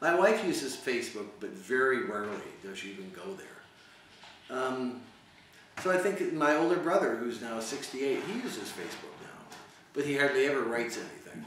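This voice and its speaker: With audible room echo and noticeable background noise, a man of medium pitch speaks at a moderate pace, using very wide pitch swings and big swings in loudness. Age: 60s. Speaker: university teacher. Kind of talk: interview. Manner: halting, many repetitions.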